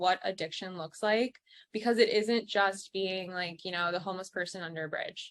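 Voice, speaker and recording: Fairly even in intonation, an unremarkable speaking voice proceeds at a fairly quick pace. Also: woman. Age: 20s. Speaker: guest sharing recovery story. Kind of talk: interview testimony.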